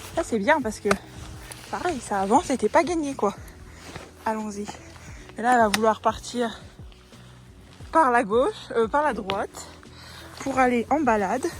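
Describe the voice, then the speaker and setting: Over music in the background, a woman with a high pitch and ordinary pitch variation speaks at a fairly slow pace with long, frequent pauses. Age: 20s. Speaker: equestrian. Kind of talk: casual vlog talk to camera.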